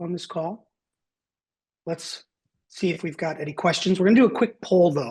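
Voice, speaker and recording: Over a quiet background, a man with a high pitch speaks at a fairly quick pace. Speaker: webinar host, software solutions architect. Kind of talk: software webinar tutorial. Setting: online webinar. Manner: fast.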